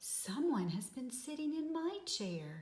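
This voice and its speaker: A woman puts on a character voice, high in pitch with very wide swings. She delivers it at a fairly slow pace. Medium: read story.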